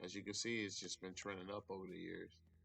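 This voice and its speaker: With music in the background, a man races along at a very fast pace in a monotone, flat intonation. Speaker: stock trading YouTuber. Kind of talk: casual tutorial. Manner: casual, repetitive.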